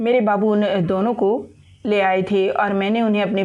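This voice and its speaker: Fairly even in intonation and medium in pitch, a woman's voice comes across over noticeable noise in the background. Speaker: audiobook narrator. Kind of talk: audiobook novel narration.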